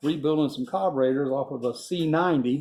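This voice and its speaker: A man with a Southern US accent at fairly high pitch, moderate pace and fairly even intonation, in a very clean recording with a silent background. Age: 60s. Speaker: small-engine mechanic and fishing guide. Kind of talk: casual video blog. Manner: rambling, relaxed.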